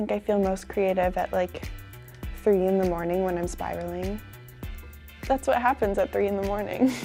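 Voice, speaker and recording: A woman talks rather slowly. Music can be heard behind her. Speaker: actress in a TV drama. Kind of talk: casual interview answer. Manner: casual, reflective, conversational with fillers.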